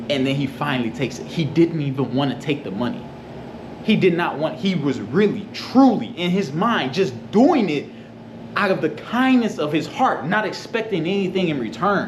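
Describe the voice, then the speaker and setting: Over noticeable background noise and audible room echo, a man with an American accent talks at a moderate pace in an animated tone, his high pitch making very wide swings. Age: 20s. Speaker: vlogger. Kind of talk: casual vlog storytelling. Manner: animated, repetitive.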